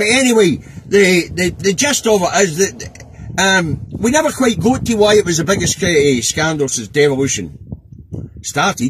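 With very wide pitch swings, a man speaks in a Scottish accent at a moderate pace, the sound dry with no echo and light noise in the background. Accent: Scottish (Angus). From Scotland. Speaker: political vlogger, truck driver. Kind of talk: casual political commentary monologue. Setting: in a truck cab. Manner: informal, hesitant with many fillers. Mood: exasperated, animated. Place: car. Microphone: phone near.

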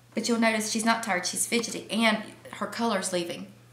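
At a moderate pace, a woman speaks with audible room echo and light background noise. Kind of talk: interview answer. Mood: worried, tender, serious. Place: home room.

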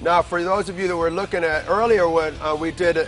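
A man at a high pitch, very fast pace and fairly even intonation, with faint music in the background. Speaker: fitness trainer host. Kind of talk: instructional commentary. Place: gym.

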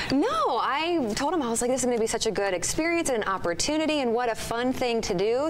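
A woman is speaking at a fairly quick pace. There is light background noise. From United States. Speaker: TV weather and traffic anchor. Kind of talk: TV weather broadcast. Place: studio. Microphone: lapel.

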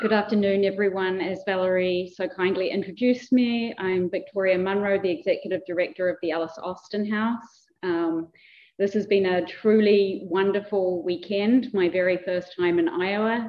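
A woman with a New Zealand accent speaks at a moderate pace with fairly even intonation and hardly any pauses. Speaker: museum director. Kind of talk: conference presentation. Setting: lecture hall with audience and microphone. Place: hall. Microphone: too quiet at first, not speaking into microphone.

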